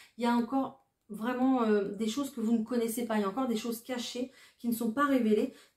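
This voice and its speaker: Speaking very fast, a woman uses a high pitch and fairly even intonation. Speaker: tarot card reader. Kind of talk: tarot reading. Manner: hesitant, many fillers.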